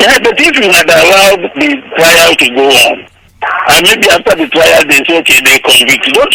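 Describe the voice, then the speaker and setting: A man with a high pitch for a man, very wide pitch swings and a moderate pace, over noticeable background noise. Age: 60s. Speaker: lawyer. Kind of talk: interview.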